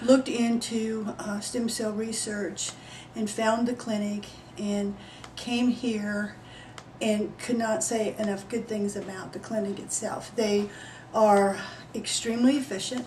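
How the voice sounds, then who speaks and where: At a fairly slow pace, a woman speaks with a fairly high pitch and monotone, flat intonation, amid noticeable background noise and audible room echo. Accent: American. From Texas. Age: 60s. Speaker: patient. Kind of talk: testimony.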